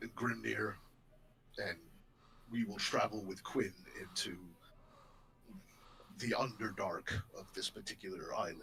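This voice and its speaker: Using a put-on character voice, a man speaks at a moderate pace. He leaves long, frequent pauses over clear background noise. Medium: actual play. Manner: formal, measured.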